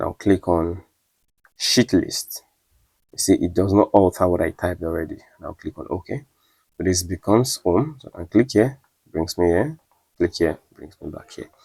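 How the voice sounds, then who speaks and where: A somewhat breathy voice with a dark, mellow tone moves at a moderate pace with lively intonation, big swings in loudness and long, frequent pauses. The recording is very clean, with a silent background and a dry, close sound with no echo. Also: man, very deep, low pitch for a man. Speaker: data analytics tutor. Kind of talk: tutorial; casual chat.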